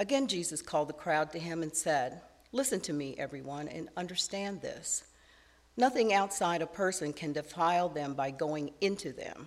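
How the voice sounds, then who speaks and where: With lively intonation at a moderate pace, a woman talks in an unremarkable speaking voice with a fairly low pitch. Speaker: scripture reader. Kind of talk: reading aloud. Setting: church.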